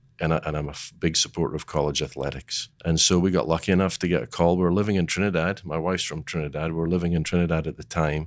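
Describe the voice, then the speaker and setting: On a very clean recording with a silent background, a man with a very deep, low voice and an American accent talks at a very fast pace with hardly any pauses and fairly even intonation. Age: 60s. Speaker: golf director. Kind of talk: interview. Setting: studio.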